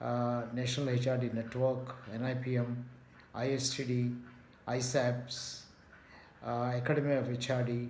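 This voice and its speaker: With noticeable background noise and audible room echo, a man talks at a moderate pace in a medium-pitched, monotone, flat voice, leaving long, frequent pauses. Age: 70s. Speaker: retired management professor. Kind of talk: video talk. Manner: measured with frequent fillers.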